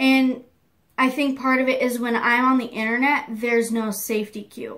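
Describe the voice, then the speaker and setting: A woman talks loudly at a moderate pace. Her pitch is high. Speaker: beauty youtuber. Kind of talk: casual vlog monologue. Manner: rambling filler-heavy.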